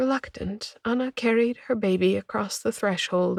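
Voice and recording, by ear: Someone reads aloud in a natural voice, and the pitch varies in an ordinary way.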